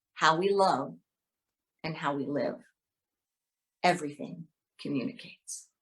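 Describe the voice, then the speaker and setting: With lively intonation, a woman of fairly low pitch speaks at a fairly slow pace. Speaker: minister. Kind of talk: spoken word poetry reading.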